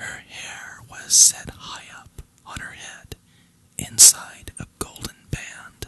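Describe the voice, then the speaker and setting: The speech is a whisper. It goes very slowly, with noticeable noise in the background. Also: man. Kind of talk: bedtime story reading. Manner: whispered; soft, relaxing.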